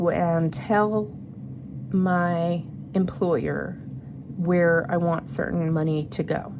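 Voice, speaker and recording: With noticeable background noise, a woman speaks very slowly in a fairly low voice, with fairly even intonation, very even loudness, and long, frequent pauses. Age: 40s. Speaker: budgeting YouTuber, single mother. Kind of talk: casual talk to camera, budget planning. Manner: casual, chatty.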